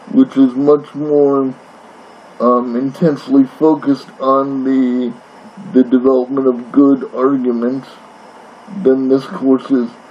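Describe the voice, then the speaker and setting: With noticeable background noise behind him, a man speaks at a very slow pace in a medium-pitched, monotone voice, his intonation flat, his loudness very even, and his pauses long and frequent. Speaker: college English instructor. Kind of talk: recorded course introduction lecture. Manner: halting, with fillers and repetitions.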